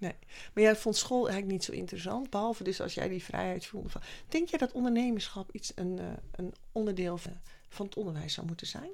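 A woman with a normal speaking voice talks at a fairly quick pace, her pitch medium and its variation ordinary. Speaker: podcast host, former teacher and coach. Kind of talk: interview.

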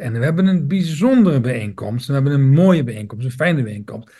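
Fairly high for a man, a somewhat breathy male voice. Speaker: podcast host. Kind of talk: podcast introduction. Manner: halting.

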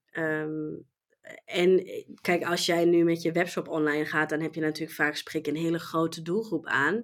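A woman's fairly low voice in a slight German accent, monotone and flat in intonation, at a moderate pace. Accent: near-native Dutch, slight German. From Germany. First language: German (speaking Dutch). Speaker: e-commerce professional. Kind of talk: interview. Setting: online call.

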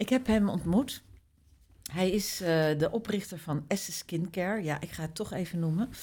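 In a very clean recording with a silent background, a woman speaks at a moderate pace in a medium pitch, her dark, mellow tone somewhat breathy and her pitch varying in an ordinary way. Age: 50s. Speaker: beauty journalist and publisher. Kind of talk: casual chat.

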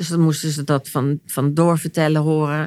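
A woman's very deep, low voice in a monotone, flat intonation at a moderate pace, on a very clean recording with a silent background. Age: 60s. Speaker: therapist and author. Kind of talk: personal testimony in interview. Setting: at her home. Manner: halting, repeating words.

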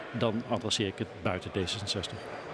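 A man talks at a fairly low pitch, with noticeable background noise present. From Netherlands, South Limburg (Schinnen). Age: 60s. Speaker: local politician. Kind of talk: political interview. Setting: live podcast recording at a media festival, bar noise.

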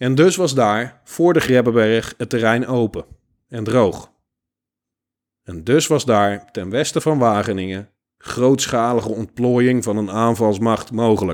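A man of medium pitch with ordinary pitch variation at a very slow pace. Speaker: history podcast host. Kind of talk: scripted narration.

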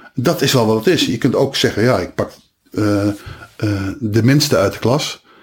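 A man's medium-pitched, somewhat breathy voice at a moderate pace, with ordinary pitch variation and long, frequent pauses. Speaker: radio DJ and stadium announcer. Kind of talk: casual interview. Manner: animated.

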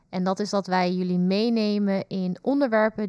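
A woman speaks in a dark, mellow tone with ordinary pitch variation. The recording is very clean, with a silent background. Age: 20s. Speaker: youth nurse and podcast co-host. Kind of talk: podcast introduction.

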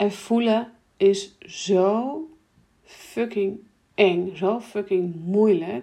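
Very slowly, a woman speaks in a dark, mellow tone at a medium pitch with ordinary pitch variation.

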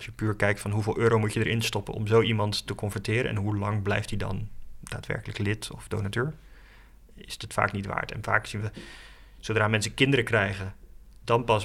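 Talking very fast, a man uses a fairly low pitch with vocal fry. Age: 30s. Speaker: online marketing adviser at a nature charity. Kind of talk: interview. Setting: outdoors in a forest. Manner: hesitant, many fillers.

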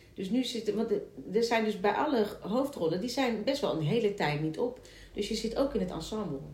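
Lively intonation and a fairly quick pace mark this woman's fairly high voice. There is noticeable background noise and audible room echo. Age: 40s. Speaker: musical theatre actress and podcast host. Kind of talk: casual chat. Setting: at the guest's home.

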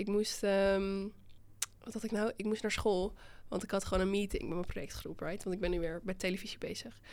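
Speaking fairly quickly, a woman holds a medium pitch in a monotone, flat intonation. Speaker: podcast host. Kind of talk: casual chat.

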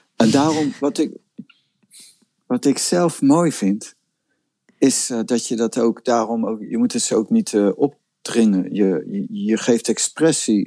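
Very slow in pace, a man speaks in a dry, close recording without echo. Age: 50s. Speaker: spiritual teacher. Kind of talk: casual chat.

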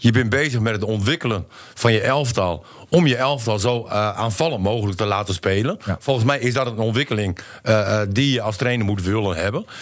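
On a very clean recording with a silent background, a man with an unremarkable speaking voice talks fairly quickly at medium pitch, with ordinary pitch variation. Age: 40s. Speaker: football pundit, former player. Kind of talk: casual chat.

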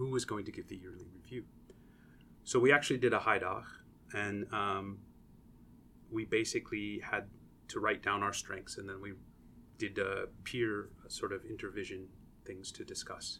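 Speaking at a moderate pace, a man swings widely in loudness and takes long, frequent pauses. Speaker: associate professor and engineer. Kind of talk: interview conversation. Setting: podcast recording room. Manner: explanatory, teaching-style.

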